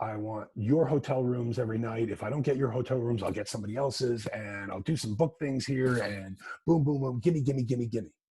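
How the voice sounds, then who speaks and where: An American-accented man with a medium pitch speaks fairly quickly in a dark, mellow, somewhat breathy tone with ordinary pitch variation. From US New England. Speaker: music business consultant. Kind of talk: talk to an audience. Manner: fast; halting, many repetitions.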